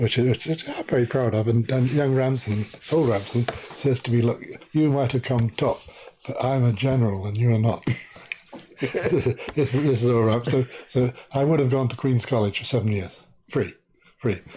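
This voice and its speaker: Over noticeable background noise, a man of medium pitch talks at a moderate pace with fairly even intonation and long, frequent pauses. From Guyana. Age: 70s. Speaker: journalist and author. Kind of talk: interview. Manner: halting, stammers.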